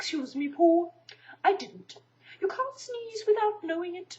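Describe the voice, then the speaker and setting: Using a put-on character voice, a woman speaks at a moderate pace with extremely high pitch. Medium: read story. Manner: pompous, wordy.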